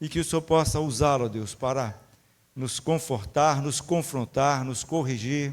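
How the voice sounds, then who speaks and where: A man speaks in an ordinary speaking voice at a medium pitch with fairly even intonation. The recording is very clean, with a silent background. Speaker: church member leading prayer. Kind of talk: introducing a guest speaker; prayer.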